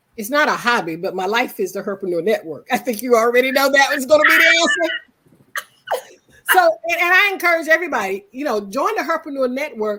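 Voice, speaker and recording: A woman with a high pitch uses a raised, projected voice full of very wide pitch swings. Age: 60s. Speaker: businesswoman, network member. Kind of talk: interview.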